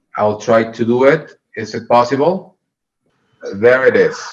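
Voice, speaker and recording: A man with a Mexican accent, medium pitch and a very slow pace. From Mexico, Puerto Vallarta. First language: Spanish. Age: 30s. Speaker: hospital medical director. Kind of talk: presentation to a club. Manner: halting.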